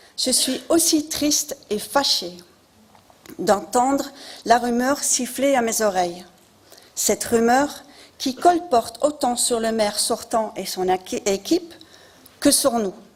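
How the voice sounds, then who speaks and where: With a non-native accent, a woman speaks at a very slow pace in a high pitch with lively intonation and long, frequent pauses against noticeable background noise. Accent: noticeable foreign accent in French. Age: 50s. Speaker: local election candidate. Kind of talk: campaign speech. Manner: formal.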